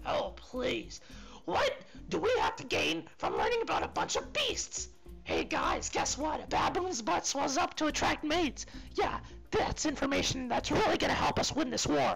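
Clear music plays in the background. The speaker uses a put-on character voice at a moderate pace. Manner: sarcastic, teasing.

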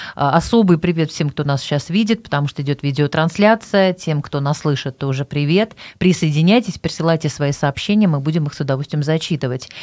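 Against a quiet background, a woman talks at a fairly quick pace in a very deep, low pitch. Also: ordinary pitch variation. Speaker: radio host. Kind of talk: radio show hosting. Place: studio. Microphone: studio mic.

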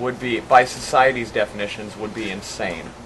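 The speech comes at a moderate pace. Noticeable background noise runs underneath it. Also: man. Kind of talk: group discussion. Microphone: camera far.

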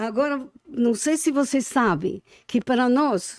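A woman's high-pitched voice at a very slow pace, with lively intonation over a quiet background. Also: dry sound with no echo. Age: old. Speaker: Holocaust survivor. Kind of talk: interview. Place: studio. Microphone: studio mic.

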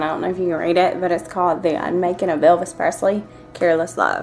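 Faint music plays in the background. A woman with a Southern US accent talks at a very fast pace in a fairly low pitch. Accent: Southern US country. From Georgia, US. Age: 20s. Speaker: vlogger. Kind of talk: casual talk to camera. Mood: playful, a bit shy. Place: home room. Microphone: webcam.

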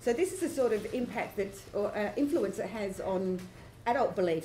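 A woman speaks over light background noise. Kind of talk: conference presentation. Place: hall. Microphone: camera far.

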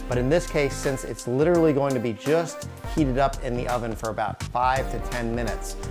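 Clear music plays in the background as a man speaks. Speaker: cooking show host. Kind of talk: tutorial. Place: kitchen.

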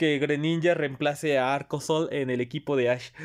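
Against a quiet background, a man with a fairly high pitch talks at a fairly slow pace. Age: 20s. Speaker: youtuber and streamer; reaction youtuber. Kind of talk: reaction video. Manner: animated. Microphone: webcam.

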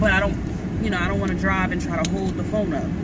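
A woman speaks at a fairly quick pace amid loud background noise, the sound dry with no echo. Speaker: vlogger. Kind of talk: casual vlog chat. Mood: excited, chatty. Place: car. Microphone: phone near.

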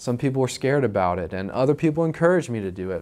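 A man at medium pitch, very wide pitch swings and a very fast pace. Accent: American. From Utah, US. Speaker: real estate investor. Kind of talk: personal story to camera. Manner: casual, repeats words. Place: office. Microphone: lapel.

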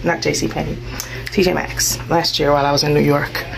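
A woman is speaking. Background noise is noticeable. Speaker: vlogger. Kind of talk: casual vlog chat. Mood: cheerful, relaxed. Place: shop. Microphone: phone near.

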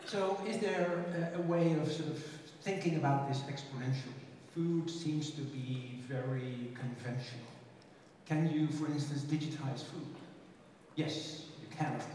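Amid strong room echo and light background noise, a man speaks at a fairly slow pace with ordinary pitch variation. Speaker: conference speaker. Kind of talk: lecture. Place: stage.

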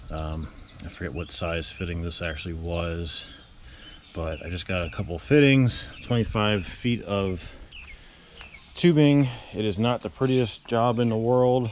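Fairly low male voice, lively intonation, long and frequent pauses, dry sound with no echo, light background noise. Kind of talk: casual tutorial commentary. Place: street. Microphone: phone near.

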